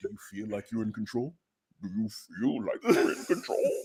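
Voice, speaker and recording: Using a put-on character voice, a man speaks in a menacing tone at a moderate pace. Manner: menacing, taunting.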